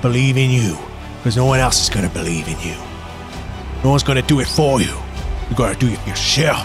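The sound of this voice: Against loud music in the background, a man puts on a croaky character voice at a medium pitch and races along at a very fast pace.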